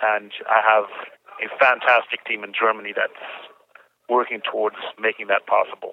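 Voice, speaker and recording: With long, frequent pauses, a man speaks at a moderate pace in a fairly low pitch and flat monotone. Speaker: prison inmate. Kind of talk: phone interview.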